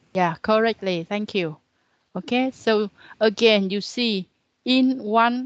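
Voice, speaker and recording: A woman speaks very slowly with a Vietnamese accent, at a fairly high pitch with ordinary pitch variation. The background is quiet, and the sound is dry and close with no echo. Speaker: university lecturer. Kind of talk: lecture. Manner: halting.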